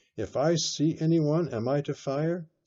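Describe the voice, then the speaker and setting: In a put-on character voice, a man speaks at a moderate pace with a fairly high pitch and fairly even intonation. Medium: read story. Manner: quiet, deferential, says "sir" often.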